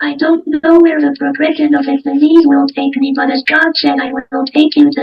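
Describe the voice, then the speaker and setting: With music in the background, a woman speaks in a high pitch. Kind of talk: personal testimony. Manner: impaired, altered speech.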